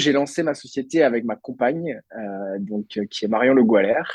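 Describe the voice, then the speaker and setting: His pitch sits at a medium level and varies in an ordinary way. The man talks at a fairly slow pace. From France, Brittany (Lannion, Côtes d'Armor). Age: 20s. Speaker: entrepreneur. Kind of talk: podcast interview. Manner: hesitant, many fillers.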